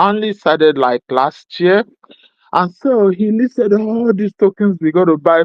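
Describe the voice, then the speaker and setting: Medium pitch and moderate pace from a woman speaking. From Nigeria (Igbo). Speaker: crypto community member. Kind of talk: casual chat. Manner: talkative.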